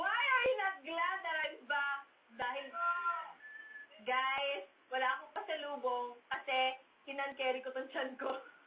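The voice is raised and projected, bright and sharp in tone, moving at a fairly slow pace with ordinary pitch variation. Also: woman, high pitch for a woman. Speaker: countdown show host. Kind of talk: casual chat. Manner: animated.

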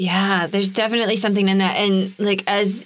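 The speaker is a woman with a plain, everyday voice at a medium pitch. She talks at a fairly quick pace. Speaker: podcast co-host, intuitive coach. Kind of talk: casual chat.

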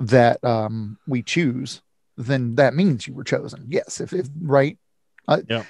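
A man speaks against a quiet background. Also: dry sound with no echo. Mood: reflective, slightly self-conscious. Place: home room. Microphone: video call.

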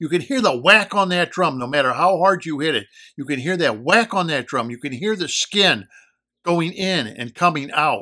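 With a quiet background, a man speaks at a moderate pace in a bright, sharp tone with lively intonation. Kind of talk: explanatory commentary. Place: home room. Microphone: phone near.

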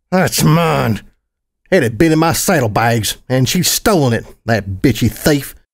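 A man puts on a strained character voice at a medium pitch, with very wide pitch swings. He keeps a moderate pace in a very clean recording with a silent background. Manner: strained, through gritted teeth.

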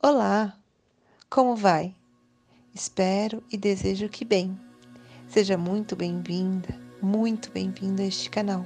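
Over music in the background, a woman with a medium pitch talks at a very slow pace in a calm tone, with fairly even intonation and long, frequent pauses. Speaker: meditation guide. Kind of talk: guided meditation. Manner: calm, slow.

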